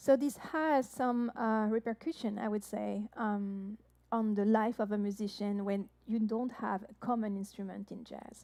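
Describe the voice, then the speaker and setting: A woman's fairly high voice with a French accent, dark and mellow in tone, fairly slow, with fairly even intonation and big swings in loudness. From France. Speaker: jazz harpist and singer. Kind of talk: live-stream show introduction. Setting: online live-stream show. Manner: hesitant, many fillers.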